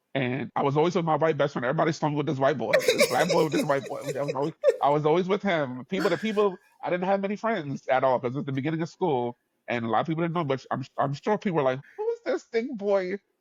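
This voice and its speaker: In a New York accent, a man talks at a very fast pace with lively intonation and a fairly high pitch. The sound is dry and close, with no echo. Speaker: podcast host. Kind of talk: casual chat. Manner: animated.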